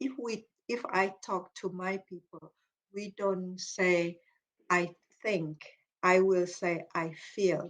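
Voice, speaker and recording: Speaking in a Malaysian accent, a woman talks very slowly at a medium pitch with fairly even intonation and long, frequent pauses. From Malaysia, Iban ethnic group. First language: Iban. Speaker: psychology professor, cognitive behaviour therapist. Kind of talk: Q&A session after lecture.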